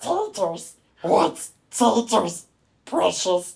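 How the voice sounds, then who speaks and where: In a put-on character voice, a female-sounding speaker talks with a raspy tone at a medium pitch. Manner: wheedling, raspy.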